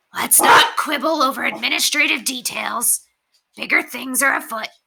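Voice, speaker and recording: This is a put-on character voice, female-sounding and high-pitched. It is raspy and moves at a moderate pace. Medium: read story. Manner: cocky, breezy.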